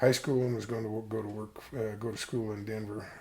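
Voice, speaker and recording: Audible room echo surrounds the voice. A man with an American accent speaks at a fairly low pitch. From Colorado, US. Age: 70s. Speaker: interviewee telling life story. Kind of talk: oral history interview. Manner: halting, many fillers.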